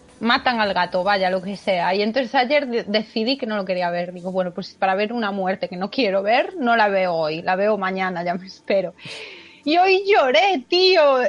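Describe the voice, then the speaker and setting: A woman speaks at a moderate pace and medium pitch, with ordinary pitch variation and noticeable background noise behind her. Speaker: podcast co-host. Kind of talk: casual chat. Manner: expressive.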